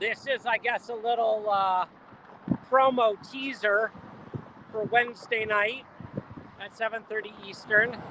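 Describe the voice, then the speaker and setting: Noticeable background noise sits under speech that moves at a fairly slow pace with long, frequent pauses. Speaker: model railroad company host filming trains. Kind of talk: live vlog commentary. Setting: outdoors on a busy road bridge by a rail yard. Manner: loud, yelling over noise.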